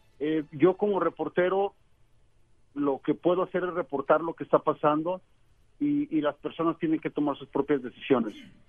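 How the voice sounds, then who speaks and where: A normal speaking voice from a man, fairly high in pitch, with moderate pace and ordinary pitch variation. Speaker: reporter. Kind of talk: interview. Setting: phone call.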